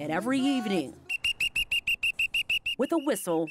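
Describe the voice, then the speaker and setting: Music plays behind a woman with a high voice. She talks at a fairly quick clip, her pitch swinging very widely. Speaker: news anchor and reporter. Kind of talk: TV news feature voiceover.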